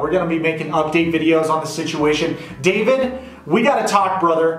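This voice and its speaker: The speaker has an American accent and an animated tone. Light background noise and audible room echo can be heard. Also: man. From Las Vegas, Nevada. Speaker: YouTube commentator. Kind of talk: reaction commentary. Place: home room.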